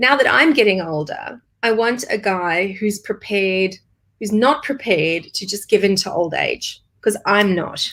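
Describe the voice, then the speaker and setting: This woman uses an ordinary speaking voice, pitched in the medium range. She talks fairly slowly, and her pitch varies in an ordinary way. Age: 40s. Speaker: business strategist. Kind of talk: casual chat.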